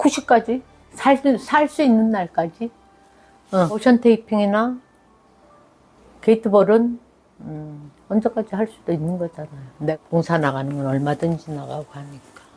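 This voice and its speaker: A woman speaks at a medium pitch and a fairly slow pace, with long, frequent pauses. Her loudness swings widely, and her pitch swings very widely. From South Korea, Daegu and Gyeongsan area. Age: 70s. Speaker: senior volunteer and lifelong learner. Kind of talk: life story interview.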